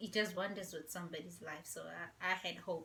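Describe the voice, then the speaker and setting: A quiet voice with a bright, sharp tone moves at a moderate pace with fairly even intonation. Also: woman. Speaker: vlogger. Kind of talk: casual chat. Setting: at home.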